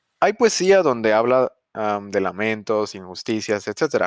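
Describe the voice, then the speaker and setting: At a moderate pace, a man speaks at a fairly low pitch in a very clean recording with a silent background and a dry, close sound with no echo. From Mexico. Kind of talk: bible teaching podcast. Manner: casual, hesitant with fillers.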